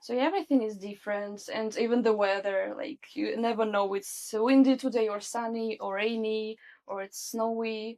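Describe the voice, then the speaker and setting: Speaking at a moderate pace, a woman with a Russian accent keeps her intonation fairly even. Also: fairly high pitch for a woman, hardly any pauses. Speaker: social adaptation specialist. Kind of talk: interview.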